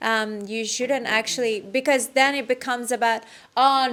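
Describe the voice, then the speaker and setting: A woman with an American accent speaks in a normal speaking voice at a moderate pace with fairly even intonation, in a very clean recording with a silent background. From Iran. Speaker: activism trainer. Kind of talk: workshop feedback.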